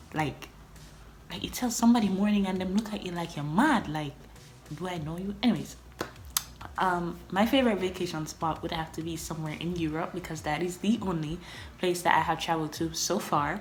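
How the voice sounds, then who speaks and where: A woman talks at a fairly quick pace with a fairly low pitch and ordinary pitch variation. Audible room echo and noticeable background noise surround her voice. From Jamaica. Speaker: vlogger. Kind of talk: casual chat.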